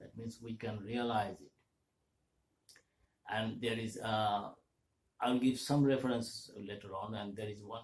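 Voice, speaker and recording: With long, frequent pauses, a man talks at a fairly slow pace in a somewhat breathy voice of medium pitch and fairly even intonation. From India, Kolkata. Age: 70s. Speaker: vlogger. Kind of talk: monologue talk. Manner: halting.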